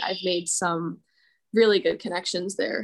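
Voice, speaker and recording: A plain, everyday voice from a woman with an American accent, medium in pitch, at a moderate pace. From New Jersey, Morristown. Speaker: architecture student. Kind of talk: interview. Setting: video call.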